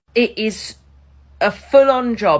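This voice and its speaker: The voice has an English accent and ordinary pitch variation. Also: woman. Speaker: ex-teacher and supply teacher, coach. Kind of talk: opinion monologue. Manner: fast.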